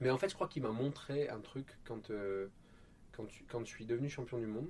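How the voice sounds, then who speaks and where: A man's dark, mellow tone at a medium pitch, with ordinary pitch variation and a moderate pace. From Marseille, southern France. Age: 30s. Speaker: Olympic canoeist. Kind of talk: interview. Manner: hesitant, many repetitions.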